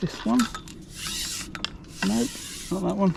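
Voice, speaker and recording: A man speaks over noticeable background noise. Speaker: match angler streaming live. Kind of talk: live fishing commentary. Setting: outdoors on a riverbank. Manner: hesitant, many fillers.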